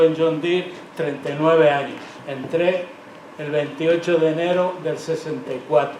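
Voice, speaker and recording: A man with a fairly high pitch speaks at a moderate pace in a flat monotone, with noticeable background noise and audible room echo. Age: 80s+. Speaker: retired factory worker. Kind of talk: testimony. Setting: public event with audience.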